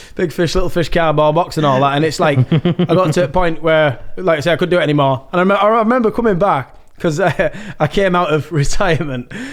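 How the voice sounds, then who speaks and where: A high-pitched man talks at a very fast pace. His pitch variation is ordinary. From northern England, Yorkshire (Malton). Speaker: rave MC and music producer. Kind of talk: casual chat.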